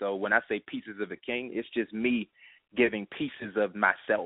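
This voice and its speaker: A man's fairly low-pitched voice with an American accent. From Washington D.C. area (Prince George's County). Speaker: hip hop artist. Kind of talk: radio interview.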